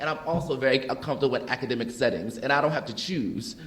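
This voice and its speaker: A man talks at a very fast pace. Noticeable background noise runs under his voice. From US Northeast, North Philadelphia. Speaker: panelist, educator. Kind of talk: panel discussion. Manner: animated, casual.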